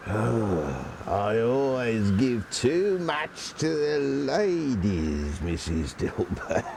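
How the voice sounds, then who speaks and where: Using a put-on character voice at a medium pitch, a man speaks at a very slow pace against clear background noise. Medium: stage play. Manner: chuckling, wheedling.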